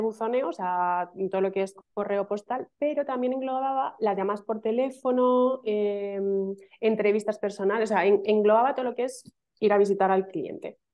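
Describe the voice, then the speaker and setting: Over a quiet background, a woman with a fairly high pitch talks at a moderate pace with ordinary pitch variation. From Madrid, Spain; Spain. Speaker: email marketing specialist; interview guest. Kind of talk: casual interview chat. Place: home room. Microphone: video call.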